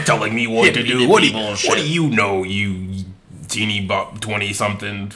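In a put-on character voice, a man talks at a fairly quick pace with a fairly low pitch. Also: ordinary pitch variation. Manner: grumpy, scolding.

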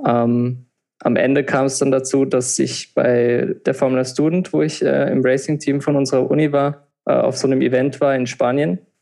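A man talks at a moderate pace with a medium pitch and a dark, mellow tone. His intonation is fairly even, and his loudness stays very even. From Palatinate, Germany. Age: 20s. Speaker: techno DJ and engineering student. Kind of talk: podcast interview. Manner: hesitant, many filler sounds.

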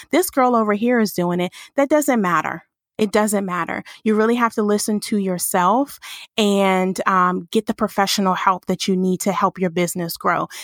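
Recorded very cleanly against a silent background, a woman talks in a normal speaking voice at medium pitch, with ordinary pitch variation and a moderate pace. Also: very even loudness, dry, close sound with no echo. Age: 30s. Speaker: branding agency founder. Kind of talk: interview.

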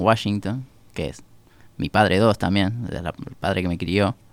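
A man talks with a Rioplatense accent. His pace is fairly slow. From Uruguay, Montevideo. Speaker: musician. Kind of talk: casual chat.

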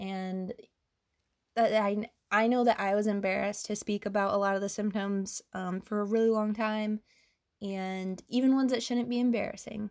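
A woman speaks at a moderate pace and medium pitch in a flat monotone, on a very clean recording with a silent background. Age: 30s. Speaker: podcast host, endometriosis patient advocate. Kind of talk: solo monologue podcast. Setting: home recording late at night. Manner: hesitant, many filler ums.

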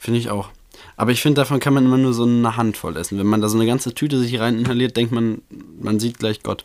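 A man talks at a very fast pace with fairly even intonation and a medium pitch. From Germany, Bochum (Ruhr area). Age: 20s. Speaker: podcast co-host.

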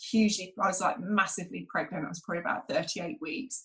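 Speaking fairly quickly, the woman has a British accent. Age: 40s. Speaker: school principal and former dancer. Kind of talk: casual interview.

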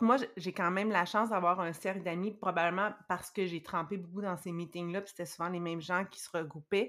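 On a very clean recording with a silent background, a woman uses a plain, everyday voice at medium pitch, speaking at a moderate pace with fairly even intonation. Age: 40s. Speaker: guest sharing personal experience with dieting. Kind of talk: testimony.

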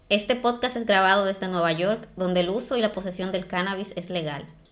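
A woman's normal speaking voice at a medium pitch, with ordinary pitch variation and a moderate pace. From Dominican Republic. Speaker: podcast co-host. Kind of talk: casual chat.

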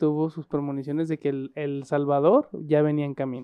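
Here a man with a fairly high pitch speaks at a moderate pace in a plain, everyday voice. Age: 30s. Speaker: podcast co-host. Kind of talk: casual chat.

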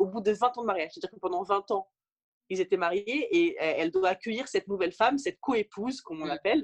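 A woman talks at a very fast pace with a fairly high pitch. Her intonation is lively. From rural France. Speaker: author. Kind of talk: interview. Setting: remote recording.

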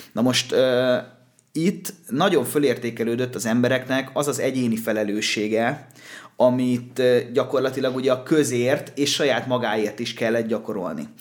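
It is an ordinary speaking voice: a man at a medium pitch, talking at a fairly slow pace with ordinary pitch variation. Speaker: podcast co-host. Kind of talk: casual chat. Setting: studio.

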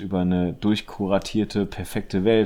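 A man's fairly low, dark, mellow voice at a moderate pace, with fairly even intonation. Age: 30s. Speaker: photographer. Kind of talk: casual chat. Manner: halting.

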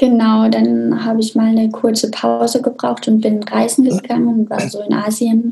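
A woman with an unremarkable speaking voice speaks moderately fast, her fairly high pitch held in fairly even intonation. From Austria, small mountain village. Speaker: sex therapist. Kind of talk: interview conversation.

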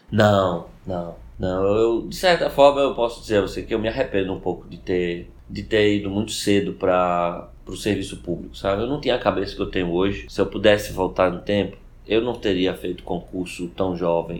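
Here a man speaks at a fairly low pitch and a moderate pace. He has a normal speaking voice with ordinary pitch variation. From Recife, northeastern Brazil. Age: 40s. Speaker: law professor and government official. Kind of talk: podcast interview.

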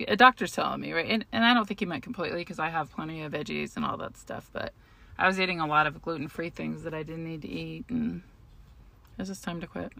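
Talking very fast with vocal fry, a woman with an American accent has a bright, sharp tone, a fairly low pitch and big swings in loudness. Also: lively intonation. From US Southwest (Albuquerque). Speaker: podcast co-host. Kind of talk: casual chat.

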